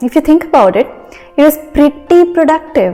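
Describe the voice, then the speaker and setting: A woman talks with lively intonation. Behind her, music plays. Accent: Indian. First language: Hindi. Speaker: engineer and vlogger. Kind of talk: casual vlog tutorial. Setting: at home.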